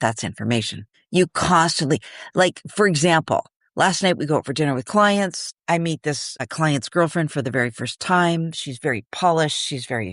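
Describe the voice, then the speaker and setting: A woman's very deep, low voice with an animated tone, dry and close with no echo, over a quiet background. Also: lively intonation, moderate pace. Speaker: podcast co-host, manifestation advocate. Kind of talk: casual chat. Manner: loud.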